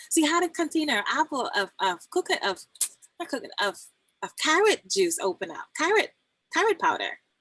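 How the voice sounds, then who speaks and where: The voice has a bright, sharp tone and a Trinidadian accent, with very wide pitch swings at a fairly quick pace. The sound is dry and close, with no echo. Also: woman, extremely high pitch for a woman. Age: 40s. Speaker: health coach and doula. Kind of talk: casual guest talk on live stream. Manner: animated, storytelling with quoted dialogue.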